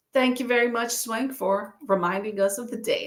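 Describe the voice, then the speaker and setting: A woman talks at a moderate pace in a high pitch with a slight Southern US accent. Her intonation is lively and her tone animated. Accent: slight Southern inflection. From Texas. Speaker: booktuber livestream host. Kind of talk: casual livestream chat. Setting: live stream.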